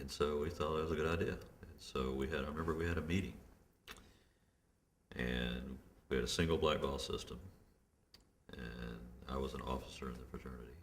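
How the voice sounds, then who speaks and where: A man's very deep, low voice with vocal fry and a Memphis accent, fairly quick but broken by long, frequent pauses, with ordinary pitch variation. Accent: Southern US (Memphis). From Memphis, Tennessee. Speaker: criminal justice reform activist. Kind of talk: oral history interview answer.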